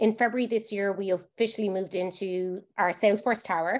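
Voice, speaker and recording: Her intonation runs monotone and flat. The woman's pitch is medium. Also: quiet background. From Ireland, Limerick. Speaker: HR director. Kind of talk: podcast interview.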